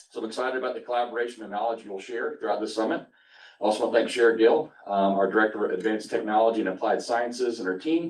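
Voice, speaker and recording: Here a man speaks at a very fast pace. His pitch is medium, with ordinary variation. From Florida (Ocala). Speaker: college administrator giving welcome address. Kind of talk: welcome speech, partly read from prepared remarks. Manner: reading prepared text, formal.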